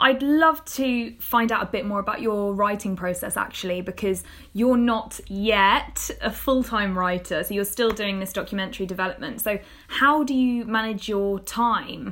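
Her pitch is fairly high, with ordinary variation, and she speaks with a British accent. The woman keeps a moderate pace. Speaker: podcast host and script executive. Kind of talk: interview conversation.

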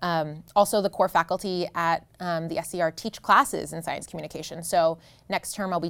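Here is an ordinary speaking voice, a woman's, with an American accent. She pitches fairly low and keeps her intonation fairly even. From US Northeast, New Jersey. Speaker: professor. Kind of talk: interview. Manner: frequent um fillers.

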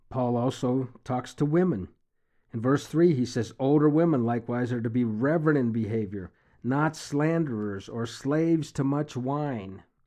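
Here a man uses a normal speaking voice at a medium pitch. His moderate pace comes with ordinary pitch variation. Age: 60s. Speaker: bible teacher. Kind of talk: devotional reading and commentary.

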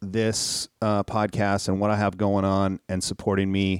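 In an unremarkable speaking voice with an American accent, a man talks at a fairly low pitch, the sound dry and close with no echo in a very clean recording with a silent background. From Minnesota. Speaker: podcast host and tattoo artist. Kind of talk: casual chat.

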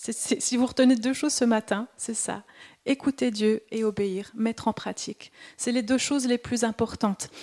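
A woman speaks at a moderate pace in a fairly high voice with a dark, mellow tone and fairly even intonation. The sound is dry and close with no echo, in a very clean recording with a silent background. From Switzerland. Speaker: preacher. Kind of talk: sermon.

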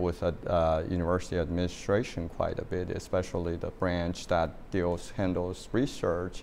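With a Chinese accent, a man speaks at a very deep, low pitch. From China. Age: 60s. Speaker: university president. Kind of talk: interview. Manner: hesitant, many fillers.

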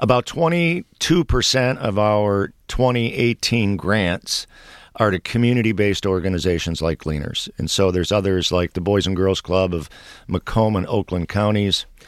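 A man's fairly low voice with an American accent, an unremarkable speaking voice with lively intonation at a moderate pace, dry and close with no echo in a very clean recording with a silent background. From Detroit. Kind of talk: radio interview. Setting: radio studio.

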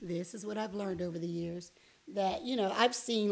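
With an American accent and a plain, everyday voice, a woman speaks at medium pitch and a moderate pace with ordinary pitch variation. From Miami, Florida. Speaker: youth minister and parent. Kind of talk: casual chat.

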